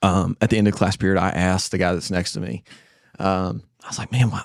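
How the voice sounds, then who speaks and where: With an Appalachian accent, a man talks at a fairly quick pace. The sound is dry and close, with no echo. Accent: Southern US (Appalachian North Carolina). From US South (western North Carolina, Spindale). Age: 20s. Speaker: church member sharing his faith story. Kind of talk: testimony.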